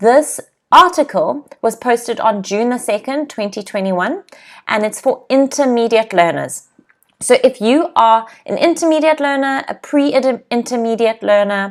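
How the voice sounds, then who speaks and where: Her high voice rises and falls with lively intonation. The woman speaks at a fairly slow pace. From South Africa, Cape Town. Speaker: English teacher. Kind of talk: live online English lesson. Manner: clear, explanatory.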